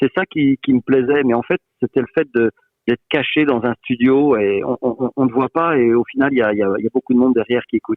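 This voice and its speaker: A plain, everyday voice at a fairly quick pace, with ordinary pitch variation and very even loudness. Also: man, medium pitch for a man. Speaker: voice-over artist. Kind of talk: interview answer.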